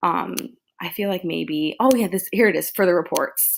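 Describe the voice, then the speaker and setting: Recorded very cleanly against a silent background, a woman speaks at medium pitch and a moderate pace with ordinary pitch variation. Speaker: education student. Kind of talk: tutorial. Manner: halting.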